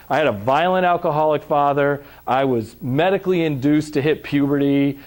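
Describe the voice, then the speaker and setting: A man speaks at a moderate pace in a fairly high pitch. The recording is very clean, with a silent background. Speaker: trauma and recovery trainer. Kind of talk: lecture. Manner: loud; animated.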